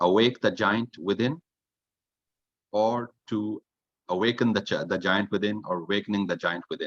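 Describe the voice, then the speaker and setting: Speaking at a moderate pace with a non-native accent, a man uses a fairly low pitch and ordinary pitch variation in a dry, close sound with no echo. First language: not English. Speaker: toastmasters club member, grammarian. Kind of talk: evaluation report at online club meeting. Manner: halting, with fillers and repeats.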